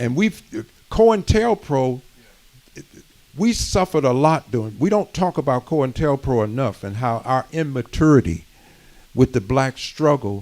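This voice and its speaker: Speaking at a fairly slow pace, a man with a medium pitch uses very wide pitch swings and takes long, frequent pauses. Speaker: community speaker. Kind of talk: community history talk.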